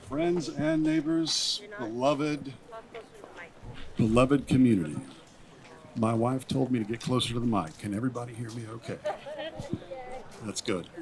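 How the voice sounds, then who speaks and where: Speaking at a moderate pace with long, frequent pauses, a man with an American accent uses lively intonation at medium pitch over noticeable background noise. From Tennessee. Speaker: pastor. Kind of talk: public comment speech. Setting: school board meeting.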